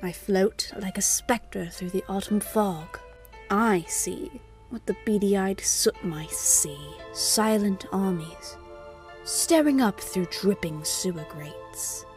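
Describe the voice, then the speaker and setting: Someone speaks at a fairly slow pace in a put-on character voice, with clear music playing in the background. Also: female-sounding voice. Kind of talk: gothic storytelling narration. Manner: theatrical, sly, gleefully spooky.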